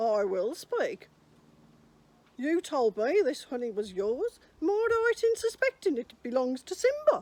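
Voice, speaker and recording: In a high-pitched, put-on character voice, a woman speaks at a moderate pace with very wide pitch swings. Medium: read story. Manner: cautious, deliberate.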